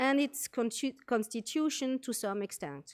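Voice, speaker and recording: Speaking at a moderate pace in a French accent, a woman with a high pitch and ordinary pitch variation is heard on a very clean recording with a silent background and a dry, close sound with no echo. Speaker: military medical officer. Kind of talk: conference presentation.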